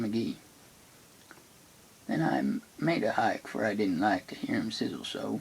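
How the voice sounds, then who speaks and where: Soft-spoken, a man talks at a moderate pace. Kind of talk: poetry reading.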